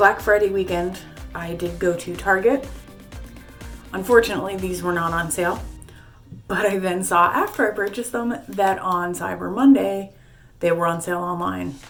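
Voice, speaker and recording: The speech runs at a moderate pace with long, frequent pauses, and music plays in the background. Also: woman, medium pitch for a woman, ordinary pitch variation. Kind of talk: casual talk to camera.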